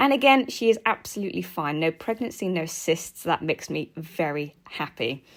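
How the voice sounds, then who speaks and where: Speaking in an English accent, a woman with a fairly low pitch moves through very wide pitch swings at a moderate pace, with hardly any pauses. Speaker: guinea pig keeper and vlogger. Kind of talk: vlog narration. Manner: animated.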